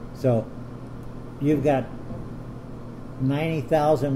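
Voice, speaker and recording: Monotone, flat delivery from a man at a medium pitch and moderate pace, with audible room echo. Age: 80s+. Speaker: military retiree representative at a base club meeting. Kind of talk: meeting feedback, complaints.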